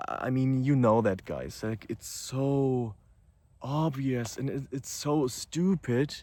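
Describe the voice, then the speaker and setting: A man with a non-native accent speaks at a very slow pace, his medium-pitched voice dark and mellow with ordinary pitch variation. The recording is very clean, with a silent background. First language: not English. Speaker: YouTuber. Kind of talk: unscripted monologue. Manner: hesitant, with fillers.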